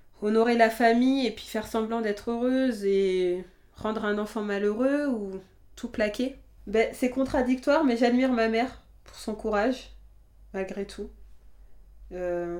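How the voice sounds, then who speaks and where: A woman speaks at a fairly slow pace with a fairly high pitch, fairly even intonation, big swings in loudness, and long, frequent pauses. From France, family of Guinean immigrants. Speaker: interviewee sharing her life story. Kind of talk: personal testimony interview. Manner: halting, with frequent repetitions.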